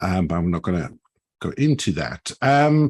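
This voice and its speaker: A man speaks at a medium pitch and a very slow pace. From Switzerland. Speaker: agile and organizational coach. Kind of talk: panel discussion.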